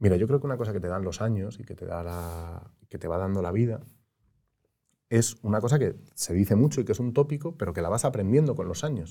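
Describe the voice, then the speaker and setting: Lively in intonation and fairly quick in pace, the dark, mellow voice comes through on a very clean recording with a silent background. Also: man, fairly low pitch for a man. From Spain, Madrid. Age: 30s. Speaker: former politician. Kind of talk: interview.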